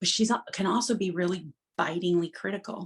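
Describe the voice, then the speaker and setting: This woman has a plain, everyday voice with a fairly low pitch. She speaks at a moderate pace with ordinary pitch variation. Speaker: Waldorf teacher, storyteller. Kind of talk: interview answer.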